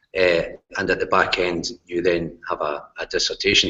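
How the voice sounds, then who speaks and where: A man with a Glasgow accent at a moderate pace. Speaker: university lecturer, course leader. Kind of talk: course presentation in online hangout. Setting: video call broadcast.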